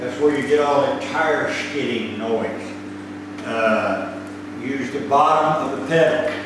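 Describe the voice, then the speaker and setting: With strong room echo and noticeable background noise, a man with a fairly high pitch and ordinary pitch variation speaks at a very slow pace. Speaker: flight instructor. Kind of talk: lecture on aviation charts and emergency rules. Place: classroom. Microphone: camera far.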